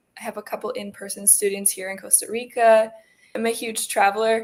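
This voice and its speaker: With a Canadian accent and an unremarkable speaking voice, a woman talks at a moderate pace in a fairly high pitch. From Canada, rural Alberta. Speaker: English tutor. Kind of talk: casual self-introduction.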